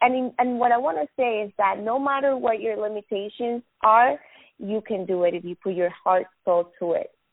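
A woman with a Spanish accent speaks at a fairly high pitch with lively intonation. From Venezuela. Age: 20s. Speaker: business owner. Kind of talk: casual interview chat.

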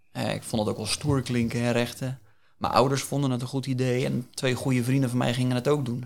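A man at medium pitch, fairly quick and monotone, his intonation flat. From Netherlands, Hillegom (Bollenstreek, South Holland). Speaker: career coach. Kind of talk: interview.

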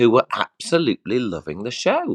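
At a moderate pace, a man speaks in a dry, close recording with no echo against a quiet background. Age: 40s. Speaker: listener giving a show review. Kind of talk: casual chat. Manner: halting, hesitant, repeats words.

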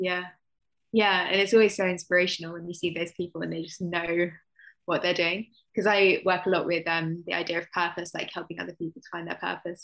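A woman's fairly low voice at a very fast pace, fairly even in intonation but with big swings in loudness. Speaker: author, teacher and therapist. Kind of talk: casual chat.

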